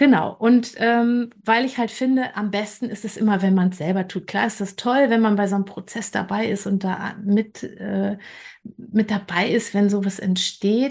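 Against a quiet background, a woman speaks at medium pitch in a somewhat breathy voice with fairly even intonation. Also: moderate pace. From western Germany, Bergisches Land. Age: 50s. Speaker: creative coach. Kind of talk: interview.

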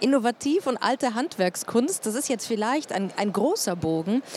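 With a normal speaking voice, a woman talks at a moderate pace and fairly high pitch, in a dry, close sound with no echo. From Germany, Munich. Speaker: podcast host and moderator. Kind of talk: live panel talk. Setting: trade fair stage with audience.

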